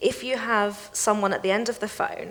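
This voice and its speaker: The speaker has a British accent and fairly even intonation. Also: woman. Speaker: financial crime specialist. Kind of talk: panel discussion.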